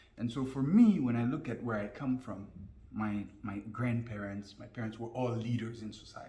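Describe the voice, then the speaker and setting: A man with a French accent speaks at a moderate pace in a medium pitch, his intonation fairly even and his loudness swinging widely. Noticeable background noise and audible room echo surround him. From Guinea, with childhood years in the US. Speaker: business and life coach. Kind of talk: interview. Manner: fluent.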